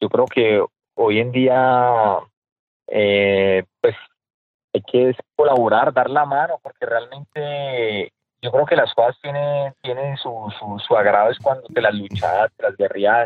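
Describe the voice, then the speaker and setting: Man at a medium pitch with ordinary pitch variation and a very slow pace. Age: 30s. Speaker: businessman and real estate investor. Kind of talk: interview. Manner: halting.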